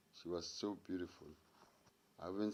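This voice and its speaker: A man talks with a South African accent. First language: Sotho-Tswana language. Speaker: storyteller. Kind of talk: casual storytelling.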